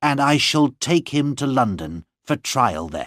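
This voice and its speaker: Putting on a growling character voice, a man with a fairly high pitch and lively intonation speaks at a fairly slow pace. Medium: read story. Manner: firm, persuasive.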